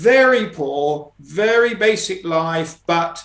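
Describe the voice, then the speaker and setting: A man is speaking. His pitch rises and falls in an ordinary way. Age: 60s. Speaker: type 1 diabetic mountaineer. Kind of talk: casual interview. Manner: halting, many repetitions and fillers.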